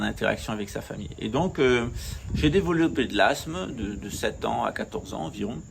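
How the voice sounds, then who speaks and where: A man speaks at a moderate pace. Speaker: spiritual teacher. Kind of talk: talk to camera. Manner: hesitant.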